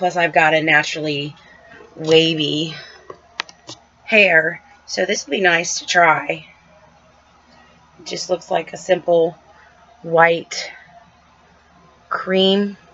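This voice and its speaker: Noticeable background noise sits under a woman's fairly low-pitched voice, its intonation fairly even and its loudness swinging widely. She speaks at a very slow pace with long, frequent pauses. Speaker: unboxing video host. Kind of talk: casual unboxing review.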